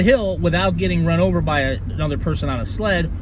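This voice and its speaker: A man's voice comes with audible room echo. Noticeable background noise is present too. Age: 50s. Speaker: vlogger. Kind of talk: casual monologue. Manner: hesitant, many fillers.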